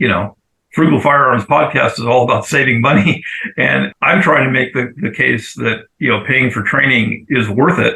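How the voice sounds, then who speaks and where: This man has a normal speaking voice. He keeps a moderate pace with ordinary pitch variation. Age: 60s. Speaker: podcast host. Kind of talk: casual chat.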